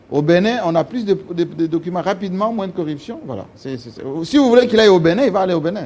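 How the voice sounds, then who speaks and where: A very fast, animated delivery over noticeable background noise. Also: man, high pitch for a man, lively intonation, big swings in loudness. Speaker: TV talk show host. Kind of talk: talk show interview.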